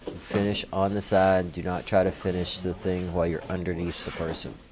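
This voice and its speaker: Very deep and low in pitch, a man talks at a moderate pace with a Kentucky accent. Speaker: martial arts instructor. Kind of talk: tutorial. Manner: casual, with many fillers.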